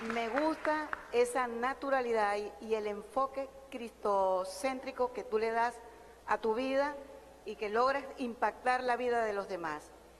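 A woman's fairly high voice, with ordinary pitch variation, moves at a fairly slow pace while noticeable background noise carries on. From Colombia (Barranquilla). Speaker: audience member. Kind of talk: audience question. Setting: audience at live event.

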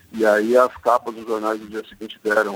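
With a dry, close sound and no echo, a man of medium pitch talks at a moderate pace. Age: 50. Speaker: sports journalist. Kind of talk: radio interview.

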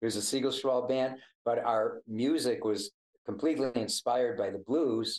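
Using an ordinary speaking voice, this man holds a medium pitch and ordinary pitch variation. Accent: American. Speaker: blues harmonica player. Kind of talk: casual chat. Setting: video call.

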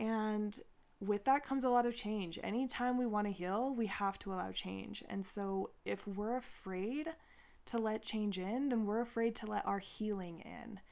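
A plain, everyday voice, a woman's, fairly high and at a moderate pace. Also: ordinary pitch variation. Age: 30s. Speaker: spiritual podcast host, tarot reader. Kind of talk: casual solo monologue. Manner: casual, filler-heavy.

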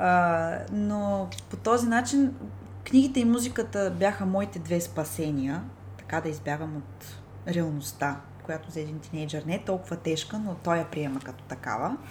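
A woman's very deep, low, somewhat breathy voice with very wide pitch swings, at a moderate pace in audible room echo. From Bulgaria, Ruse. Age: 20s. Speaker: librarian. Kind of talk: interview.

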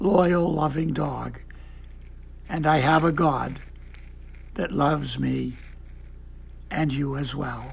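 Against audible room echo, a man speaks at a very slow pace with long, frequent pauses. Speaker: devotional speaker. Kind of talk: devotional talk. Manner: gentle.

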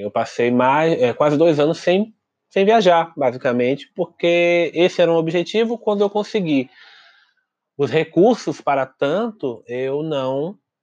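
Slowish in pace, a man with an unremarkable speaking voice talks at a fairly high pitch with lively intonation. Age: young. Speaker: podcast co-host, traveler. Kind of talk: casual chat.

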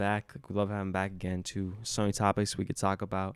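A man's normal speaking voice, fairly low in pitch, at a fairly quick pace. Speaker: college student podcast host. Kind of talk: casual chat.

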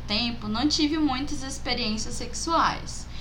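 A woman with a high pitch uses a raised, projected voice at a fairly slow pace. Noticeable background noise runs behind her. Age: 20s. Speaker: guest, friend of the hosts. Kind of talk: casual chat.

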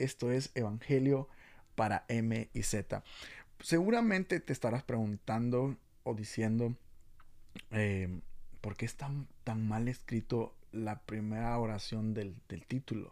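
Against a silent background on a very clean recording, the words come very slowly, with pitch that shifts in an ordinary way. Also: man, medium pitch for a man. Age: 20s. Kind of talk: casual youth devotional talk. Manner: halting, many fillers and repetitions.

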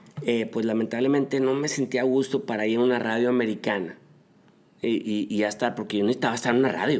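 With a normal speaking voice, a man talks at a fairly quick pace, keeping a medium pitch, ordinary pitch variation and very even loudness. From northern Mexico, Monterrey area. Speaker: marketing and PR consultant. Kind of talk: interview.

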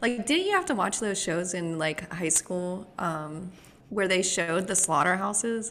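Noticeable background noise behind a woman speaking at a fairly slow pace with ordinary pitch variation. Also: medium pitch for a woman. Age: 20s. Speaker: podcast co-host. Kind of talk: casual chat. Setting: video call.

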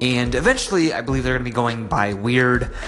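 A man speaks in an upbeat tone with ordinary pitch variation. Noticeable background noise is present. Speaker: podcast host. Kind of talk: podcast intro and interview. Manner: casual, friendly, upbeat.

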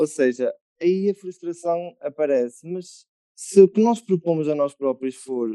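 Using ordinary pitch variation, a man speaks in a dark, mellow tone. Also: dry, close sound with no echo. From Murça, northern Portugal. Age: 20s. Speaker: musician and composer. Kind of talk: casual chat.

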